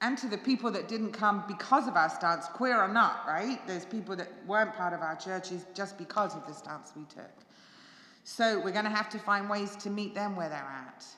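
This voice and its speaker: A woman with an English accent speaks at a moderate pace, her pitch medium and its variation ordinary. Her loudness swings widely over noticeable background noise. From England. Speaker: pastor. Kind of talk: church forum talk. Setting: church with live audience and stream. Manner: conversational, halting.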